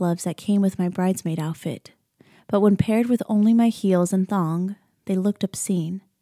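Set against a quiet background, a natural reading voice moves with ordinary pitch variation.

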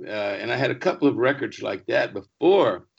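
With music in the background, a man with an American accent speaks at a moderate pace. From Texas. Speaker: singer and record producer. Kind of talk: casual interview.

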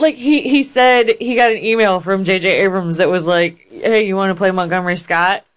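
A woman with a normal speaking voice talks at a moderate pace and medium pitch. Her intonation is lively, and she leaves hardly any pauses. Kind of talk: casual chat.

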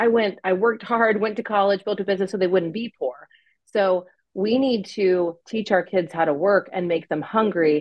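A woman with an unremarkable speaking voice, a medium pitch and ordinary pitch variation, at a moderate pace. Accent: American. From US, California and Pennsylvania. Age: 30s. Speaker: adoptive mother and former church creative director. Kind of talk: interview testimony.

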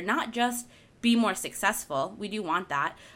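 On a very clean recording with a silent background, a woman of medium pitch talks at a moderate pace with a bright, sharp tone and lively intonation. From Argentina-born, raised in the US from infancy. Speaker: podcast co-host, wellness author. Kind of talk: casual chat. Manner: giggly, laughs often.

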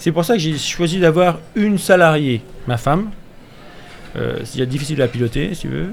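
Noticeable background noise surrounds a man whose fairly high voice moves at a fairly slow pace. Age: 50s. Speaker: clothing brand founder. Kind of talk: radio interview, casual chat. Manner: animated.

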